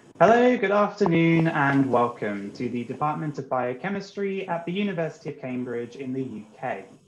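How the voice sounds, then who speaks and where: The speaker moves at a moderate pace with hardly any pauses and very wide pitch swings, over light background noise and audible room echo. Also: man, fairly high pitch for a man. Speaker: science communications specialist. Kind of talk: talk introduction. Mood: warm, cheerful. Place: home room. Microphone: video call.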